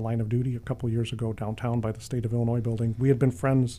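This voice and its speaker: There is noticeable background noise as a man with an American accent talks at a medium pitch. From Chicago, South Side. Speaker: university police chief. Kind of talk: interview. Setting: studio.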